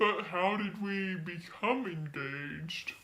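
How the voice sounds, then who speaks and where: A man uses a put-on character voice pitched high. He speaks at a fairly slow pace with ordinary pitch variation. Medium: stage play.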